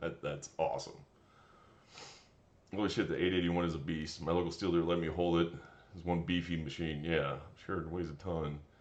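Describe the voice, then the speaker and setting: A man speaks at a fairly quick pace with a very deep, low pitch and monotone, flat intonation. Long, frequent pauses break up his speech, and the room echo is audible. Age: 30s. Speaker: tree service foreman and streamer. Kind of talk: casual live stream chat reading comments.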